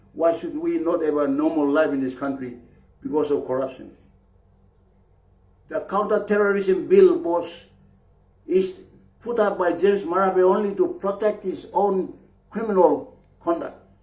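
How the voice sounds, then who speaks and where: Audible room echo surrounds a man with a high pitch, speaking at a moderate pace. His pitch swings very widely, and he leaves long, frequent pauses. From Papua New Guinea, Chimbu highlands. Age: 60s. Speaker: anti-corruption activist leader. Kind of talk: public political appeal. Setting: Facebook live stream. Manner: halting, with fillers and repeats.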